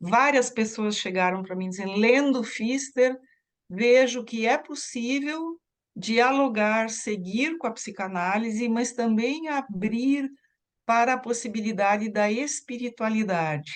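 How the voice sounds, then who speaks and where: A woman's fairly high voice with a German accent, a very slow pace and ordinary pitch variation against a quiet background. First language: German (speaking Portuguese). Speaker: psychoanalyst. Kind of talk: interview.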